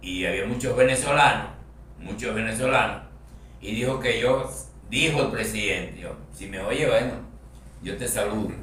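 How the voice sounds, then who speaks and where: A man speaks at a moderate pace with noticeable background noise. Room echo is audible in the recording. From Canary Islands, La Palma. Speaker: radio host. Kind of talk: interview. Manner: halting.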